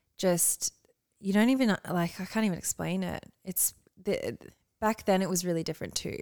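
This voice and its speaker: Speech in an Australian accent at a moderate pace, with ordinary pitch variation and long, frequent pauses, dry and close with no echo on a very clean recording with a silent background. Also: woman, medium pitch for a woman. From Australia (moved from Canada at eight, country town). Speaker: model. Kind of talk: casual chat.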